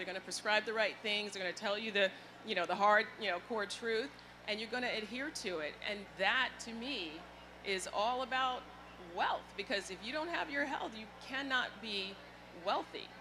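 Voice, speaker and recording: A woman speaks in a plain, everyday voice at a moderate pace, with a fairly high pitch and ordinary pitch variation. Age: 60s. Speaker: healthcare executive. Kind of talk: panel discussion.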